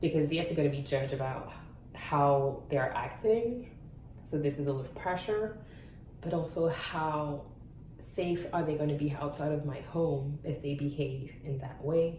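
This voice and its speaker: A woman's very deep, low voice at a moderate pace with ordinary pitch variation, amid noticeable background noise and audible room echo. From France. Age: 30s. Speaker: parent sharing experience. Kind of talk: interview testimony. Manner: halting.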